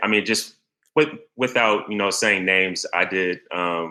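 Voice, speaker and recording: This man's voice sits at a fairly low pitch with a bright, sharp tone and ordinary pitch variation. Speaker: copywriter. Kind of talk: casual chat. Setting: video call. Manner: halting.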